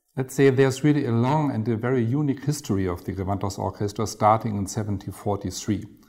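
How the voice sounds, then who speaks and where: A man speaks with a German accent in a dark, mellow, somewhat breathy tone. His pitch variation is ordinary. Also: very clean recording, silent background. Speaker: concert hall director. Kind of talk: interview.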